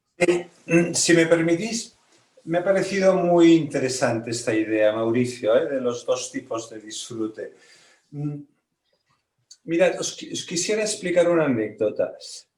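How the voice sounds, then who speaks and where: A high-pitched man with a Catalan accent at a fairly slow pace, with very wide pitch swings and big swings in loudness. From Catalonia, Spain. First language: Catalan (speaking Spanish). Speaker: psychologist and author. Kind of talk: panel discussion.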